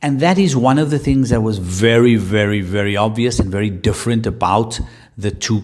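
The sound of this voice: At a moderate pace, a man speaks with a fairly low pitch, a slightly mellow tone and ordinary pitch variation.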